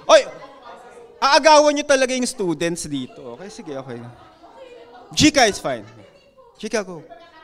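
Crowd noise fills the background as the voice moves at a fairly quick pace with very wide pitch swings. Long, frequent pauses break up the speech. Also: man, high pitch for a man. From Philippines. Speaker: university lecturer and event emcee. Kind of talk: event hosting. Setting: lecture hall with live audience. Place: hall. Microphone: podium.

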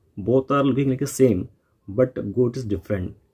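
A dark, mellow tone over a quiet background. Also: man. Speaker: teacher. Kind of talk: lecture. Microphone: phone near.

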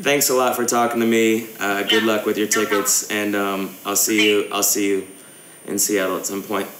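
A raspy, put-on character voice at a fairly slow pace, with clear background noise behind it. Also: man, fairly low pitch for a man. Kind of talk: casual, friendly sign-off. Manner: playful, pretend. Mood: friendly, amused.

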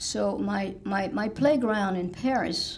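A woman speaks with vocal fry. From France. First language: French. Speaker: village president. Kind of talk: speech. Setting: stage with audience. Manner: halting. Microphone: podium.

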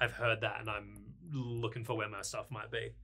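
A man's raspy, put-on character voice at a medium pitch and a moderate pace. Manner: curt, hurried.

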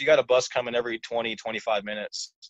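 In an American accent, a man with an unremarkable speaking voice talks at a fairly quick pace and medium pitch, the sound dry and close with no echo. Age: 20s. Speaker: podcast guest, channel subscriber. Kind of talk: casual chat.

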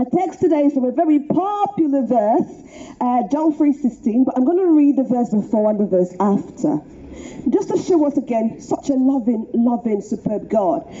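Light background noise sits behind a woman speaking at a moderate pace with hardly any pauses. Her high voice has lively intonation. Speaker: street preacher. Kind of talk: street preaching sermon. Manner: earnest, conversational. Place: street.

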